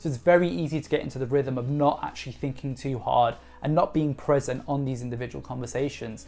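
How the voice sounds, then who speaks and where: A woman talks very fast with hardly any pauses, her pitch very deep and low with ordinary variation. Music plays in the background. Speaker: sales trainer. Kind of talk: tutorial.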